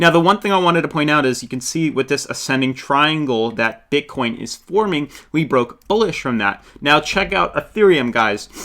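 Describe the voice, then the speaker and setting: The tone is bright and sharp. A man speaks at a fairly high pitch. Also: lively intonation. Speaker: crypto YouTuber. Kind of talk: market analysis tutorial. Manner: fast.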